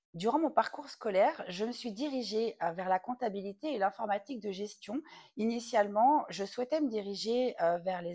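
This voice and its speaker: Her pitch fairly high, a woman talks at a moderate pace with lively intonation. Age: 30s. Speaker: entrepreneur and content writer. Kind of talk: testimony. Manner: hesitant, many fillers.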